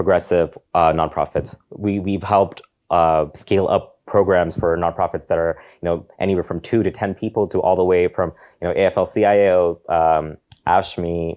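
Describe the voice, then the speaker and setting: A man speaks with a very deep, low pitch and fairly even intonation. The background is quiet. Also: moderate pace. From Saudi Arabia, moved to US at ten. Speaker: panel moderator and organizer. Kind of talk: panel discussion.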